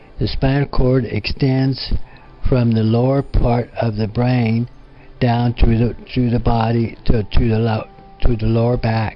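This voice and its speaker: A man's medium-pitched, monotone voice with flat intonation at a fairly slow pace, over music in the background. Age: 70s. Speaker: quadriplegic spinal cord injury survivor. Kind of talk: personal life story talk. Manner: hesitant, halting.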